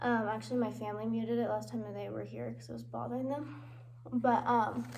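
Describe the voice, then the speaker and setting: Amid audible room echo, a woman talks fairly quickly with big swings in loudness. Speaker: vlogger. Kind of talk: casual vlog monologue. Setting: under a table at home.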